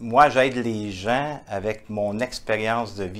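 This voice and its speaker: A man with a Quebec accent, medium in pitch, at a very slow pace. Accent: Québécois. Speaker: entrepreneur, author and international speaker. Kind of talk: interview answer. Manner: warm, heartfelt.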